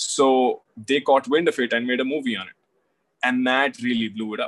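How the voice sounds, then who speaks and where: A man talks with an Indian accent at a fairly quick pace. His intonation is fairly even. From India, Delhi. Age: 20s. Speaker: author. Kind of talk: casual chat.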